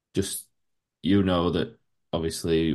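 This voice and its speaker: A man with a Yorkshire accent speaks in a very deep, low voice. His intonation is flat and monotone, and the background is quiet. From Yorkshire, England. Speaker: podcast host. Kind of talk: casual interview.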